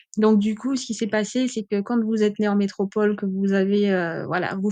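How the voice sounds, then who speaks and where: Over a quiet background, a woman speaks at a medium pitch in a monotone, flat delivery with a dark, mellow tone and a dry, close sound with no echo. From French overseas islands (Caribbean), born in mainland France. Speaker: podcaster. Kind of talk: personal testimony. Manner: hesitant with many fillers.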